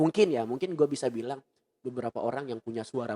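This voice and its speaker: A man's shrill voice comes through in a dry, close sound with no echo. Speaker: radio announcer. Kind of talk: casual podcast chat. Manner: playful, comedic.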